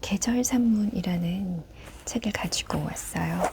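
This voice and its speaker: A soft-spoken voice talks at a very slow pace. Noticeable background noise runs underneath. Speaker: book narrator. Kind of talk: casual intro to listeners. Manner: quiet, soft-spoken.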